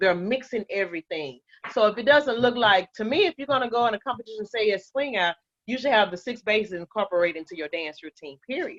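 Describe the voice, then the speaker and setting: A woman with an American accent and fairly high pitch at a very fast pace, the sound dry and close with no echo. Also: lively intonation, big swings in loudness. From Fort Worth, Texas. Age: 60s. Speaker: dance instructor. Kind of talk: interview conversation.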